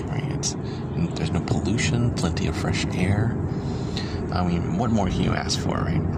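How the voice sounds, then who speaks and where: The man's voice is dry, with no echo, at a moderate pace. Loud background noise fills the recording. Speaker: vlogger. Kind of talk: casual vlog chat. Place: car. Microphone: phone near.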